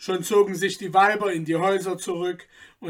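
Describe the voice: The text is given a plain reading aloud with fairly even intonation.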